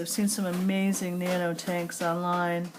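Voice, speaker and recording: Noticeable noise fills the background. Through it, a woman talks rather slowly. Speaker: aquarium hobbyist vlogger. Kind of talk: tutorial. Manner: casual, thinking aloud.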